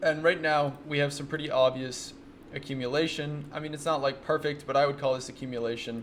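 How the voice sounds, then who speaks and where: A man's fairly high voice, fairly quick, in a monotone, flat intonation. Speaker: day trader and trading mentor. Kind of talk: screen-share trade recap tutorial. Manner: fast; casual, conversational.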